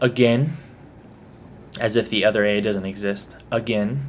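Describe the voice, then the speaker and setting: Using ordinary pitch variation, a man with a Texas accent speaks in a fairly low pitch. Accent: mild Texas. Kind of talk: accent tag video, casual talk to camera. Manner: casual, chatty.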